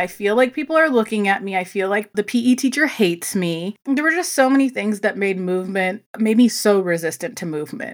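A woman talks at a fairly quick pace with a fairly high pitch and lively intonation. It is a plain, everyday voice. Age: 30s. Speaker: fitness instructor. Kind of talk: casual chat.

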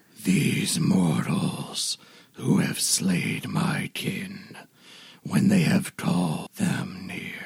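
The speaker performs a put-on character voice, moving along at a very slow pace. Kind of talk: archaic, theatrical.

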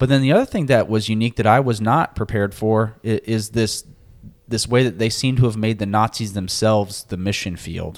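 A man with a normal speaking voice talks at medium pitch. His pace is fairly quick and his intonation fairly even. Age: 30s. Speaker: podcast co-host. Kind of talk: casual chat.

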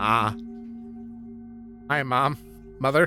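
Over clear background music, a man does a put-on character voice at a medium pitch with lively intonation. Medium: actual play. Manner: nervous, timid.

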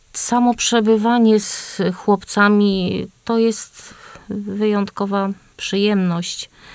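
A woman's medium-pitched, monotone voice at a very slow pace, with noticeable background noise. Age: old. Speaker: grandmother, association member. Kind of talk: casual radio chat. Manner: halting.

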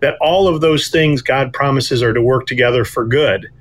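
In a plain, everyday voice, a man speaks at a moderate pace and medium pitch with ordinary pitch variation. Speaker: author and guest. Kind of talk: interview conversation, faith testimony.

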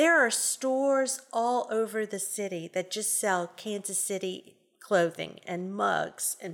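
Speaking at a fairly slow pace with a New Orleans accent, a woman uses a medium pitch and ordinary pitch variation in a very clean recording with a silent background. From New Orleans, Louisiana. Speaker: food bank executive director. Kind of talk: interview.

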